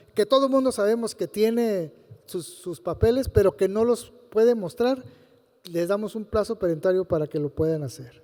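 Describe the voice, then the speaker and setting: A man speaks with a dark, mellow tone and a high pitch. His pitch variation is ordinary. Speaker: health regulatory official. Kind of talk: panel talk. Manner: halting.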